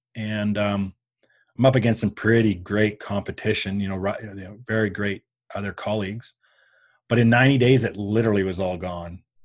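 A man with a normal speaking voice talks fairly quickly at a fairly low pitch with fairly even intonation and big swings in loudness, on a very clean recording with a silent background. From Canada. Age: 50s. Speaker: business coach. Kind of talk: interview.

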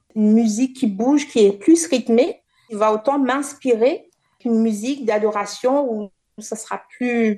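A woman speaks at a very slow pace and a fairly high pitch with ordinary pitch variation. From Réunion. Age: 30s. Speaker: dancer. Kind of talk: interview. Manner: halting.

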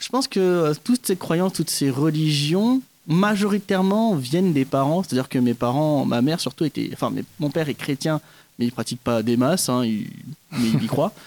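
Heard as dry, close sound with no echo, a man talks at a moderate pace in a normal speaking voice, with a fairly high pitch and lively intonation. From French Guiana (Kourou). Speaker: stage actor. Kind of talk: interview.

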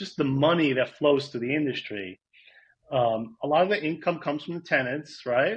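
A man with a New York accent, somewhat breathy, at a moderate pace with lively intonation. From New York, Rockland County. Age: 40s. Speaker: real estate data consultant. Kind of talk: casual interview. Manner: halting.

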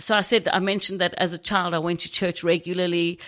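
A woman with a strong South African accent has a fairly low pitch and a bright, sharp tone in a very clean recording with a silent background. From South Africa, Knysna, Garden Route. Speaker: churchgoer sharing faith story. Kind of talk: testimony.

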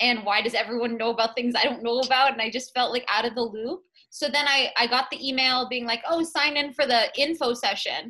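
Her tone bright and sharp, a woman with an American accent speaks at a high pitch with fairly even intonation and hardly any pauses. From Massachusetts North Shore. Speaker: law student negotiation competitor. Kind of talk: interview.

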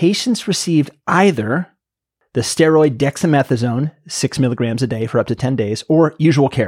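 Recorded very cleanly against a silent background, with a dry, close sound and no echo, a man with an unremarkable speaking voice talks at a moderate pace, his fairly high pitch full of lively intonation. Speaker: podcast host. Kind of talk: interview conversation, casual banter.

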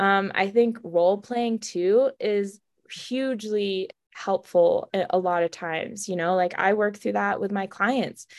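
Over a very clean recording with a silent background, a woman speaks in a plain, everyday voice at medium pitch, with fairly even intonation and a fairly slow pace. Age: 20s. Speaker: recovery coach for teens and young adults. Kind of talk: interview.

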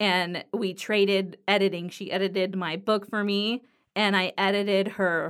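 This woman has an American accent. Her pitch sits in the medium range. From Southern California, Los Angeles area. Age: 30s. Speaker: podcast host, writer. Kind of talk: solo podcast monologue. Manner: casual, with many fillers.

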